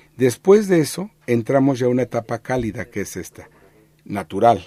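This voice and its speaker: A man's medium-pitched voice, dark and mellow in tone, with lively intonation at a moderate pace. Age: 60s. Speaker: archaeologist. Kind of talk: radio interview.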